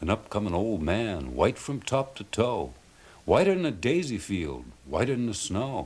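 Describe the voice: The speaker is doing plain reading aloud.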